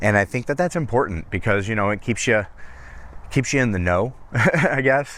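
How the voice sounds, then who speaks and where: A man speaks at a moderate pace. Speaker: aspiring voice actor. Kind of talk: casual talk to camera. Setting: outdoors, lavalier mic while walking.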